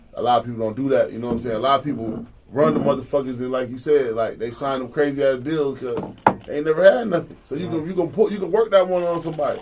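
Through noticeable background noise, a man with a fairly high pitch talks very fast with lively intonation. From Jacksonville, Florida. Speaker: podcast host. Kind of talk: casual chat. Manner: animated.

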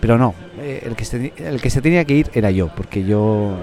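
A man talks at a fairly low pitch. His pace is fairly slow, with noticeable background noise. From Catalonia, Spain (Reus, Tarragona). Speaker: podcast host. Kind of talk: casual chat. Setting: café.

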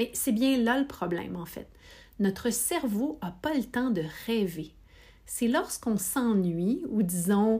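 Very slowly and a bit breathily, a woman speaks with lively intonation on a very clean recording with a silent background. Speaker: podcast host. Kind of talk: scripted narration; casual chat.

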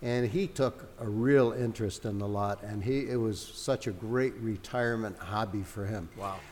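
A man with an American accent has an ordinary speaking voice at medium pitch with ordinary pitch variation. He goes at a moderate pace with hardly any pauses. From Connecticut, Hartford. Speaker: Christmas tree lot owner. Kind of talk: casual chat. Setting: in a brewery and coffee shop.

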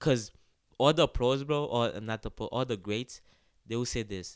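A man with a Haitian accent, medium-pitched, at a fairly quick pace with ordinary pitch variation, on a very clean recording against a silent background. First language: Haitian Creole. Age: 20s. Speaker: college soccer player. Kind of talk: podcast interview. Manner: halting.

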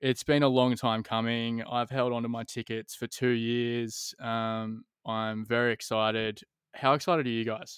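The speaker has an Australian accent and a monotone, flat intonation. The pace is moderate, with a quiet background. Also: man, medium pitch for a man, dry, close sound with no echo. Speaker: podcast host. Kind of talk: casual interview chat.

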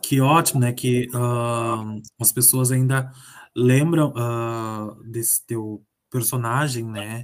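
Here a man talks at a very slow pace. His voice is medium in pitch, with fairly even intonation. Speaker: radio host. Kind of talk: radio interview.

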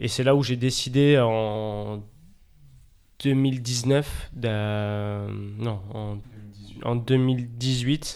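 A man speaks at a very slow pace with fairly even intonation. Audible room echo surrounds his voice. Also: medium pitch for a man. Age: 20s. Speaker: professional table tennis player. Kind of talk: casual chat.

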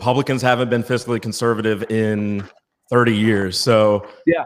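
A man with an ordinary speaking voice and an American accent talks at medium pitch and a moderate pace, with fairly even intonation. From Virginia. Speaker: digital marketer and political commentator. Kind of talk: casual political talk show.

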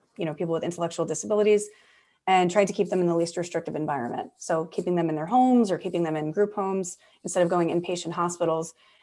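A woman with an American accent speaks at a fairly low pitch. The recording is very clean, with a silent background. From US Northeast, New York/New Jersey area. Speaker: clinical psychologist. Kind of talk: interview conversation. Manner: animated, frequent laughter.

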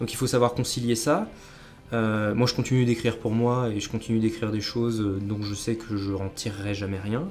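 The speech moves at a moderate pace over music in the background. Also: man, medium pitch for a man, fairly even intonation. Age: 20s. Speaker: professional writer. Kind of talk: interview.

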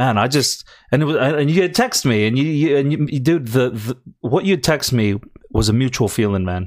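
Here a man speaks in a normal speaking voice at medium pitch, fairly quickly and with lively intonation. The recording is very clean, with a silent background. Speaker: podcast co-host. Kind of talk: casual conversation.

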